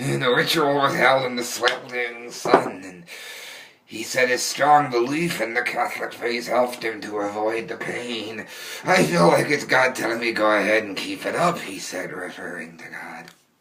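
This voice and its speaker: A man's put-on character voice at a medium pitch and moderate pace, with ordinary pitch variation and audible echo. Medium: solo performance. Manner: giggling, relishing gore.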